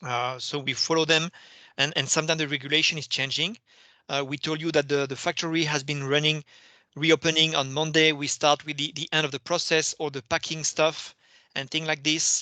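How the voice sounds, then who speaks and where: With a French accent, a man speaks at a fairly quick pace and a fairly high pitch in a bright, sharp tone, monotone and flat, with a dry, close sound with no echo and a quiet background. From France. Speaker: company finance executive. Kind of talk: investor Q&A. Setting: video call. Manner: hesitant, many fillers and repetitions.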